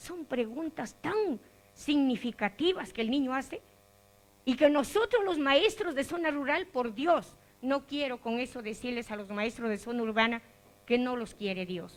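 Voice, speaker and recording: A woman talks at a fairly slow pace in a high pitch, her voice swinging very widely up and down. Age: 60s. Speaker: rural preschool teacher. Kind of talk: audience comment. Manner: animated.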